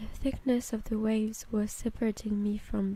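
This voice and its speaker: Whispering, a woman speaks in a soft, somewhat breathy way at a fairly slow pace. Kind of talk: ASMR short story reading, first-person narration. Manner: whispered, soft-spoken, relaxing.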